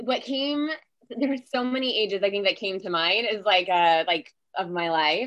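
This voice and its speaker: In an ordinary speaking voice, a woman with a medium pitch talks at a fairly slow pace with lively intonation. The background is quiet. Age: 40s. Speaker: wellness podcast guest. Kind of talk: casual chat.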